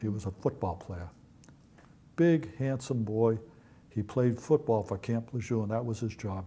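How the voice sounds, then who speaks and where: A man with a Boston accent speaks at a medium pitch with ordinary pitch variation and a dark, mellow, somewhat breathy tone. His pace is fairly slow, with long, frequent pauses. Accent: Boston-area New England. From East Natick, Massachusetts. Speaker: Marine Corps veteran. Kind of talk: oral history interview answer. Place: home room. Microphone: lapel.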